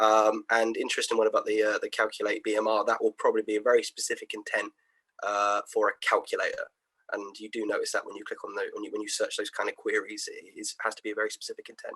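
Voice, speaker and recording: Very fast and dry, with a close sound and no echo, a man's voice shows big swings in loudness. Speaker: SEO marketing analyst. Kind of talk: webinar presentation.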